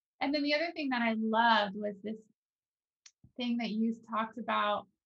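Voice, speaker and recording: A woman's ordinary speaking voice, fairly high-pitched, with ordinary pitch variation. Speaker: podcast host. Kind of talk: casual conversation.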